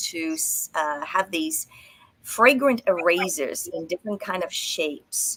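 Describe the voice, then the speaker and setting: A woman with an Australian accent, fairly low in pitch, with ordinary pitch variation. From Australia, arrived from Romania at age seven. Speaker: entrepreneur and personal development event guide. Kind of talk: interview, personal life story.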